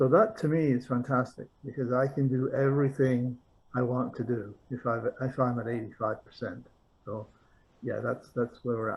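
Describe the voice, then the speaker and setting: At a moderate speed and with fairly even intonation, the voice sounds somewhat breathy. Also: man, medium pitch for a man. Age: 70s. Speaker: client testimonial. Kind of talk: testimonial interview.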